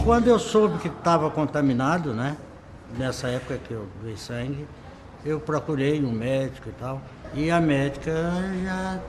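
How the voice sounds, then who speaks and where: A man's fairly high voice at a fairly slow pace, with lively intonation, audible room echo and noticeable background noise. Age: 60s. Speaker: liver transplant patient. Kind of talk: testimony.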